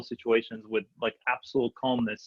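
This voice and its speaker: Here a man speaks at a medium pitch in a monotone, flat way. His pace is fairly quick. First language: not English. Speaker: new real estate agent and investor. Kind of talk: panel discussion. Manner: halting, many fillers.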